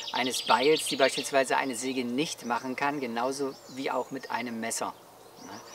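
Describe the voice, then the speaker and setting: Light background noise sits behind a man speaking at a moderate pace. The sound is dry, with no echo. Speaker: outdoor gear reviewer. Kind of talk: explanatory talk to camera. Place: open country.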